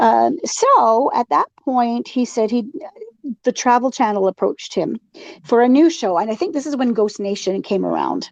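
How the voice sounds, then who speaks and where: A woman with an ordinary speaking voice talks at a moderate pace. Her pitch is fairly high and her intonation lively. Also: dry, close sound with no echo. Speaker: paranormal podcast host. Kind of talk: casual chat.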